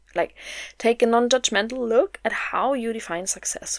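A woman with a German accent speaks at a moderate pace. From Germany. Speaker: podcast host, mindset coach. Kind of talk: solo motivational podcast talk.

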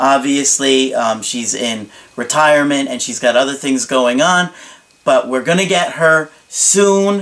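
A man talks fairly slowly with lively intonation as noticeable background noise carries on behind him. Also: fairly high pitch for a man. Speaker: relationship coach. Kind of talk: advice monologue to camera.

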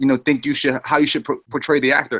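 A man's fairly high voice with ordinary pitch variation, dry and close with no echo, on a very clean recording with a silent background. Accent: New York. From Queens, New York City. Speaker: film director. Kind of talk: casual chat.

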